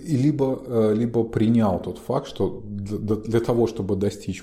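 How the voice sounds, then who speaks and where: Somewhat breathy, a man speaks in a dark, mellow tone. His pitch is medium, with ordinary variation. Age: 40s. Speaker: psychologist and podcast co-host. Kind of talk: casual chat.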